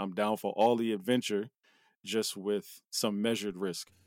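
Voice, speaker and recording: On a very clean recording with a silent background and a dry, close sound with no echo, a man speaks at a fairly low pitch with monotone, flat intonation. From US Northeast (New Jersey). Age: 40s. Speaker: podcast co-host. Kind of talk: casual chat.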